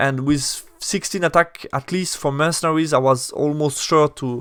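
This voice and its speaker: With a non-native accent, a man talks at a fairly high pitch. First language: not English. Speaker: tabletop wargaming youtuber. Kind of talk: battle report commentary. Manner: hesitant, many fillers and self-corrections.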